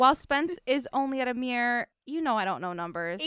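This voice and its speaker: A high-pitched woman's voice with a Chicago accent, bright and sharp in tone, moderate in pace and lively in intonation. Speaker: podcast co-host. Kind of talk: casual, profane.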